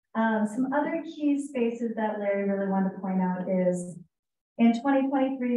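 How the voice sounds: There is audible room echo around a woman's raspy voice, fairly high in pitch with ordinary pitch variation and a dark, mellow tone.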